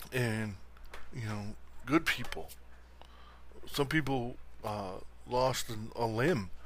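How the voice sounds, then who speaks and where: Audible room echo surrounds a man with an American accent whose intonation is fairly even. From Buffalo area, western New York. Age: 40s. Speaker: podcast host, sports fan commentator. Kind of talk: casual solo sports talk. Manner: rambling with many fillers.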